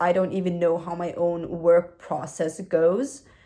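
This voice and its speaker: Speaking with a non-native accent, a woman uses a fairly low pitch and a dark, mellow tone at a fairly slow pace. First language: not English. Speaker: new YouTuber. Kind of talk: casual vlog reflection. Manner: hesitant, with fillers.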